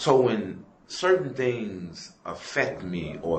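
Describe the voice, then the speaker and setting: Audible room echo, plus noticeable background noise. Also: man. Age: 60s. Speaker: prison inmate. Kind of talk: interview. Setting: prison.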